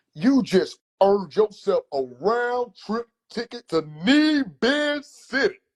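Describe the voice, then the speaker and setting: A man puts on a character voice pitched extremely high and speaks at a fairly slow pace. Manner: theatrical.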